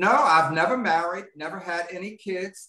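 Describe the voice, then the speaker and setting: Noticeable background noise fills the recording. A man speaks through it. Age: 70s. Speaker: author. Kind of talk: interview.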